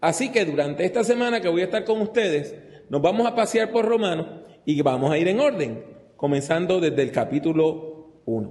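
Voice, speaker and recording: Lively intonation from a man amid audible room echo. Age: 60s. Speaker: preacher. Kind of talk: sermon. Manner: conversational.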